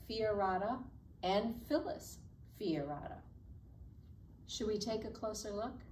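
Light background noise is present. A woman speaks at a fairly slow pace. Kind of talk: children's program presentation. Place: classroom. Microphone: camera far.

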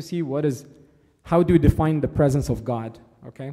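Against a quiet background, a man speaks in a fairly high pitch with a dark, mellow tone and a somewhat breathy quality. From Egypt. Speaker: church servant giving a talk. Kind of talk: sermon. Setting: church. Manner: halting, many fillers. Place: church.

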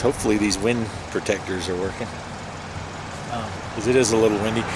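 Loud background noise surrounds a man speaking with ordinary pitch variation in a dry sound with no echo. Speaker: geocaching vlogger. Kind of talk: casual vlog chat. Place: open country. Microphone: phone near.

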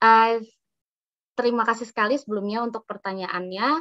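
Her bright, sharp, fairly high voice moves at a moderate pace with ordinary pitch variation. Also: quiet background. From Indonesia. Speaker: doctor and public health officer; webinar speaker. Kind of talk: tutorial. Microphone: video call.

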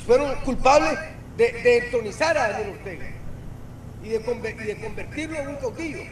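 A man speaks at an extremely high pitch with lively intonation and a moderate pace. Noticeable background noise and audible room echo fill the recording. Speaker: political analyst. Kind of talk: political talk show discussion. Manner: halting, repeats words.

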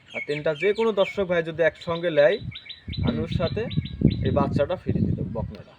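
A man talks at a high pitch. There is noticeable background noise. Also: ordinary pitch variation. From Bangladesh, Pabna (Ishwardi). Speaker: dairy farmer and cattle seller. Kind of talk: sales pitch.

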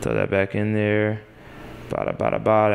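A moderate pace against light background noise. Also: man. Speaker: home cook host. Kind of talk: tutorial. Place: kitchen.

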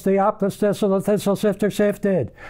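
This man has a high pitch and a dark, mellow tone, speaking at a fairly quick pace. His intonation stays fairly even against a quiet background. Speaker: auctioneer. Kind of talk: auctioneer tongue-twister warm-up. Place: studio.

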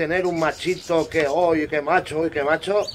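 The pace is moderate. Noticeable background noise runs underneath. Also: man. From Spain. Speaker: bird breeder and YouTuber. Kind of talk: casual hobby tutorial video.

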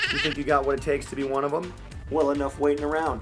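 With clear music playing in the background, a man speaks in an upbeat, enthusiastic tone. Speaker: animator, show host. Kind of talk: casual talk to camera, show hosting. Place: home room. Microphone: webcam.

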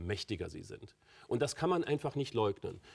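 Quiet background behind a male speaker. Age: 40s. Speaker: author and entrepreneur; talk show guest. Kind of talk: talk show interview. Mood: calm, confident, provocative. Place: studio. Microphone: lapel.

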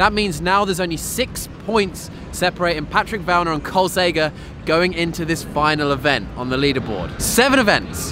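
Over noticeable background noise, a man talks at a fairly quick pace in a high pitch, the sound dry with no echo. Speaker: vlogger. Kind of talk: casual vlog chat. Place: waterside. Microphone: phone near.

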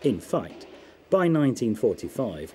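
At a medium pitch, a man with a British RP accent speaks in very wide pitch swings. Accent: British English, received-style. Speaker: documentary narrator. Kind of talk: scripted documentary narration. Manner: formal, measured, authoritative.

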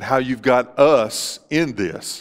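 The background is quiet. The speaker is a man. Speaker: pastor. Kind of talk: sermon and spoken prayer. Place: church.

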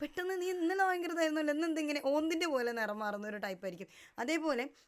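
Noticeable background noise under a woman's speech with lively intonation. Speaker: lifestyle vlogger. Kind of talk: motivational talk to camera.

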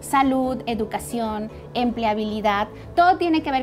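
A woman's voice with clear music in the background. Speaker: guest. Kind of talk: interview answer. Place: studio. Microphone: lapel.

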